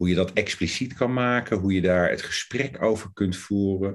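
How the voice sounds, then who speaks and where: A man speaking at a moderate pace. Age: 50s. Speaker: coaching lecturer. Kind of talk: interview. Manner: hesitant.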